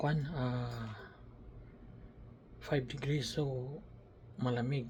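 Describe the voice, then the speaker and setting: Somewhat breathy and fairly even in intonation, a man speaks at a medium pitch with audible room echo. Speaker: vlogger. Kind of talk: casual vlog. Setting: small room at a work camp. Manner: halting.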